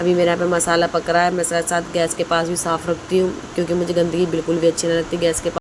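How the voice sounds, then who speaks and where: Her intonation stays monotone and flat as this woman speaks at a fairly low pitch. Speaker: cooking vlogger. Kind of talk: casual vlog narration. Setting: home kitchen.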